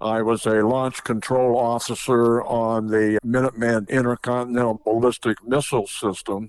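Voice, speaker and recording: Speaking in a monotone, flat intonation, a man with an American accent keeps a medium pitch, a moderate pace, very even loudness and hardly any pauses. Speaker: air force veteran. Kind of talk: interview.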